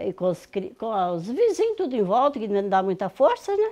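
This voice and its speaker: A woman speaking in a dark, mellow tone. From Minas Gerais, rural. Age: 60s. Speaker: farm matriarch; host's interviewee at her home. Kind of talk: casual interview. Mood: warm, reflective, grateful. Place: kitchen. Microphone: phone near.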